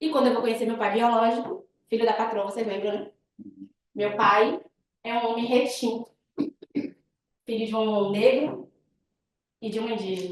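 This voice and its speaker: Pausing often and for long stretches, a woman speaks at a fairly high pitch with fairly even intonation. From Northeast Brazil, Bahia. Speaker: guest lecturer, web designer. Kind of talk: guest lecture with personal story. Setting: university classroom. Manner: fast.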